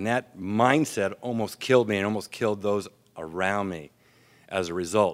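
A man's fairly low, slow-paced voice with an American accent and ordinary pitch variation, in a very clean recording with a silent background. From US military family, raised abroad. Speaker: AA speaker. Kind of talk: recovery talk. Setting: stage with audience. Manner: clear.

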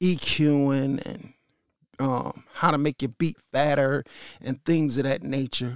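A man talks at a very slow pace in a relaxed tone, with a dry, close sound and no echo. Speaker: podcast host, hip-hop DJ. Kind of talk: casual monologue. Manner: halting, repeats words.

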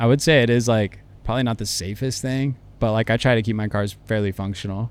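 A man talks at a fairly quick pace and medium pitch in a normal speaking voice. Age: 30s. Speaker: car club owner. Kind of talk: casual interview. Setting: studio.

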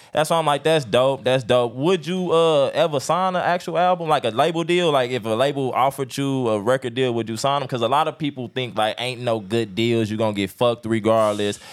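Over background music, a man of medium pitch talks fairly quickly with hardly any pauses and ordinary pitch variation. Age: 30s. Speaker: podcast host. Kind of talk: casual interview.

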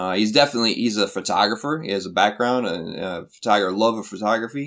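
Recorded very cleanly against a silent background, a man speaks at a fairly low pitch with a Midwestern American accent. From US Midwest (Flint, Michigan). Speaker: university English educator. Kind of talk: interview. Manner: halting, many fillers.

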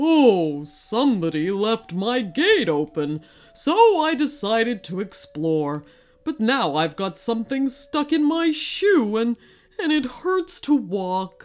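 A put-on character voice at a fairly high pitch, with very wide pitch swings and a fairly slow pace. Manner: mild, gentle, puzzled.

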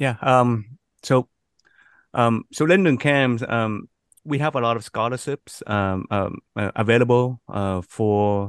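Against a quiet background, a man speaks fairly slowly with a Vietnamese accent. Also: dry, close sound with no echo. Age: 40s. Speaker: youth camp organizer. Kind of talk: podcast interview.

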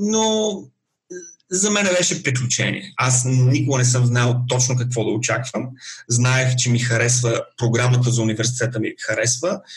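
A man is speaking with a somewhat breathy voice. His loudness stays very even. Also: medium pitch for a man, ordinary pitch variation, moderate pace. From Bulgaria. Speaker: IT professional, immigrant. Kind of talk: interview.

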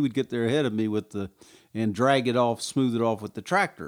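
With a Southern US accent, a man talks at a medium pitch with ordinary pitch variation on a very clean recording against a silent background. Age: 60s. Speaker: small-town mayor. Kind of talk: casual interview.

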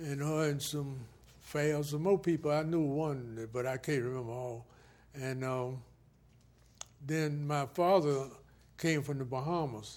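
His pitch fairly high and his intonation fairly even, a man speaks with long, frequent pauses. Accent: Southern US. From US South, Florida (Martin County). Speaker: retired Air Force veteran. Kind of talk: oral history interview. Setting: filmed interview.

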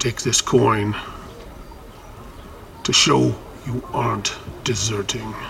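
Over clear background noise, a man in a put-on character voice speaks at a medium pitch and fairly slow pace, with long, frequent pauses. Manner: stern, commanding.

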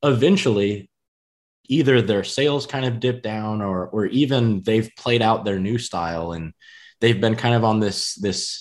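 A man with an American accent speaks in a plain, everyday voice, his pitch fairly low. He keeps a moderate pace against a quiet background. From US Midwest. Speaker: podcast host. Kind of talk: casual interview. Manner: casual, filler-heavy.

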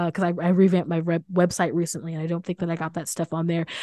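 A woman's dark, mellow voice with an American accent, against a quiet background. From rural Missouri, US Midwest. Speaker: author and minister. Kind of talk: interview. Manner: halting, many fillers and repeats.

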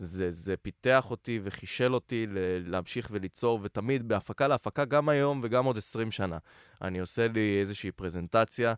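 A man speaks at a moderate pace in an ordinary speaking voice, his fairly low pitch showing ordinary variation, with hardly any pauses on a very clean recording with a silent background. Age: 20s. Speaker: content creator and producer. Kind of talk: casual chat.

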